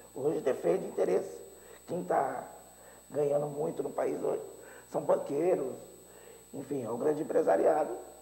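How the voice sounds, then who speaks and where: A man speaks at a moderate pace, with long, frequent pauses. Audible room echo surrounds his voice. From Brazil, interior of São Paulo state. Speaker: teacher and mayoral candidate. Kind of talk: political interview. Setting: TV studio.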